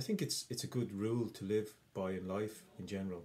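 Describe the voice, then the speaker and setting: In an Irish accent, a man speaks at a fairly slow pace with a fairly low pitch and a dark, mellow tone. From Ireland. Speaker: English teacher. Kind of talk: educational explainer to camera.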